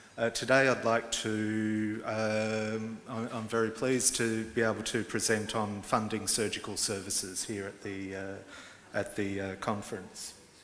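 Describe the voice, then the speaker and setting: A fairly low-pitched man at a fairly slow pace, monotone and flat in intonation, with audible room echo. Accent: Australian. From Australia. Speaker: advocacy organisation executive director. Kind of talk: conference presentation. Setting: conference hall with interpreters. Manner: halting, many fillers.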